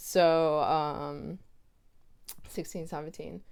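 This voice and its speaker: A woman with an American accent speaks at a very deep, low pitch. Her intonation is monotone and flat, and room echo is audible. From United States. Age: 30s. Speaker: publisher, editor and author. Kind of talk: interview conversation. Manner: casual, many fillers.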